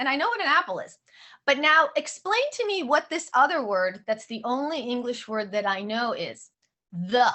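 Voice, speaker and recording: A woman's high voice sounds animated, with very wide pitch swings. Her pace is moderate. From born in Odessa, Soviet Union; raised in San Francisco. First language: Russian. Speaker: author. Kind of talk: book talk.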